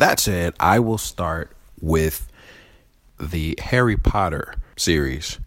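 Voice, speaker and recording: A man's very deep, low voice with vocal fry, very slow pace, long and frequent pauses, and ordinary pitch variation. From Chicago area, US. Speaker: podcast host. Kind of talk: casual chat.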